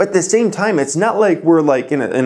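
A man speaks at a fairly quick pace with ordinary pitch variation. The background stays quiet. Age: 20s. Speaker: finance YouTuber; finance youtuber. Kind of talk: casual vlog talk to camera. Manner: casual, with filler words. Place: home room. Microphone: lapel.

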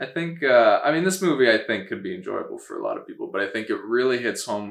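A man speaks at a very fast pace. Audible room echo surrounds his voice. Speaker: film review host. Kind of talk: casual conversational film review. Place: home room.

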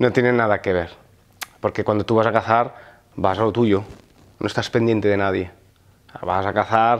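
Using fairly even intonation, a man with a fairly low pitch talks at a moderate pace broken by long, frequent pauses. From Val d'Aran, Catalonia (Spain). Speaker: hunter and firefighter. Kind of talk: casual interview. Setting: outdoors in France. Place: home room.

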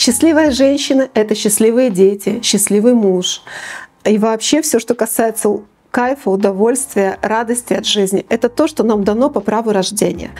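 A woman at a moderate pace, with ordinary pitch variation and very even loudness. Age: 50s. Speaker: business psychologist; presenter. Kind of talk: talk to camera. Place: studio. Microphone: lapel.

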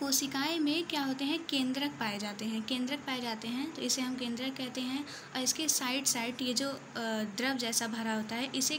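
Over noticeable background noise, a woman speaks in a high pitch with fairly even intonation. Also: fairly slow pace. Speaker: student or tutor explaining biology. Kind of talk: tutorial. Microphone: phone near.

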